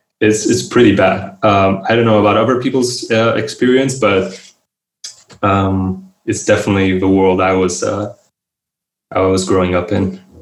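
A man with a fairly low pitch speaks at a moderate pace. His intonation stays fairly even. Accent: Romanian. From Romania. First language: Romanian. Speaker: writer and researcher. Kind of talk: interview. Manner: halting, with frequent repetitions.

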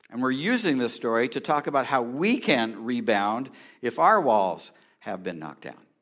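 A man with a plain, everyday voice, medium pitch, moderate pace, lively intonation and big swings in loudness. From California. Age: 60s. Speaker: pastor. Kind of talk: sermon. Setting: church.

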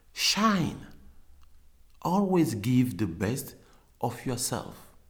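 A man's voice makes very wide pitch swings and carries vocal fry. Audible room echo surrounds it. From Cameroon. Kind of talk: interview. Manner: halting, many fillers.

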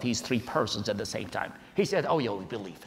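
There is noticeable background noise. Over it, a man speaks fairly quickly. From Iraq, Baghdad. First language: Arabic. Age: 40s. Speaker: preacher, convert from Islam. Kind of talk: testimony.

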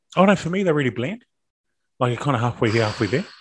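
A man talks with a New Zealand accent and lively intonation. The recording is very clean, with a silent background. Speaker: rugby podcast co-host. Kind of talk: casual chat.

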